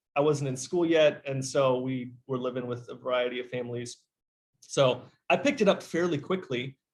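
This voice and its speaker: A man's normal speaking voice with an American accent, medium in pitch, with ordinary pitch variation and a moderate pace. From Kenya. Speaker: teacher. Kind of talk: interview.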